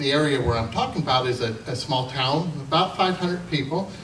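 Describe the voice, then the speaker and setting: Against light background noise and audible room echo, a man talks at a moderate pace. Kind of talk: humorous storytelling to an audience. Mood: jovial, amused. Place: hall.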